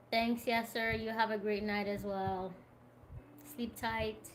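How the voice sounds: A woman with a fairly high pitch and little pitch movement, at a slow pace, with audible room echo.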